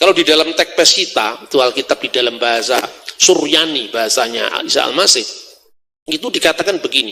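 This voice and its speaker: A man's fairly high voice with a Javanese accent, lively intonation and a fairly quick pace. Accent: Javanese accent in Indonesian. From Java, Indonesia. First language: Javanese (speaking Indonesian). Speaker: religious scholar, speaker. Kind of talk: public lecture.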